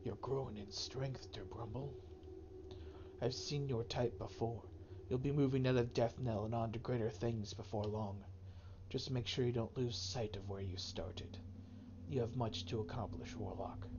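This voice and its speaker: A man puts on a character voice at medium pitch, speaking at a moderate pace with long, frequent pauses. Loud background noise fills the recording. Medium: game stream.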